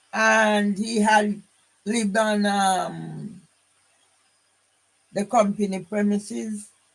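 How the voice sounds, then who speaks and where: A man with a Jamaican accent and high pitch, very slow and monotone with flat intonation, with long, frequent pauses. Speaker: vlogger telling family history. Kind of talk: personal monologue. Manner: rambling, halting.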